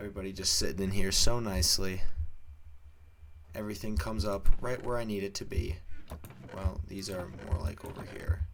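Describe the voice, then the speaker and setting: Over noticeable background noise, a man talks at a fairly quick pace, broken by long, frequent pauses. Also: fairly low pitch for a man, ordinary pitch variation, big swings in loudness. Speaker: gaming youtuber. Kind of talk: let's play commentary.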